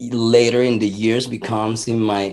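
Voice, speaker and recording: A very slow, monotone delivery with flat intonation and a Spanish accent. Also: man. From Venezuela. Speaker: punk musician. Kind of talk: interview.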